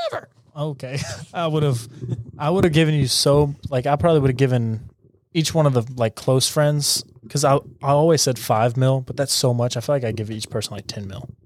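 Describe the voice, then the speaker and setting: A man talks at a fairly quick pace with a medium pitch and ordinary pitch variation. His is a normal speaking voice. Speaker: podcast host. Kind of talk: casual chat.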